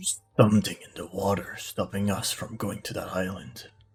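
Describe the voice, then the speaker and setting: A put-on character voice from a man, pitched fairly low and delivered at a moderate pace. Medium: actual play.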